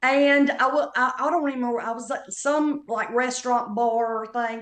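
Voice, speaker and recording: A woman is speaking in a high pitch. Her pitch variation is ordinary. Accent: Southern Appalachian. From North Carolina Appalachian foothills. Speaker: comedian. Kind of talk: casual chat.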